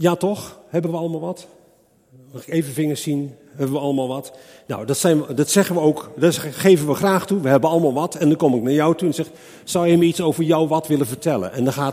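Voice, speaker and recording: Talking at a very fast pace, a man uses a fairly high pitch and a dark, mellow tone. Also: ordinary pitch variation. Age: 60s. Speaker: preacher. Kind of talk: sermon.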